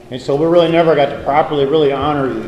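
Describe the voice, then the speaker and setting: A man's fairly even intonation is heard with audible echo from the room and noticeable noise behind him. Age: 60s. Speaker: high school coach. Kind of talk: banquet speech.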